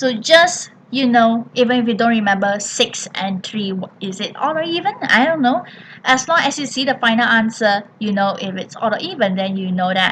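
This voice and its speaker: Against noticeable background noise, a woman with a fairly high pitch and lively intonation talks at a moderate pace with hardly any pauses. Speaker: primary school maths teacher. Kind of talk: tutorial.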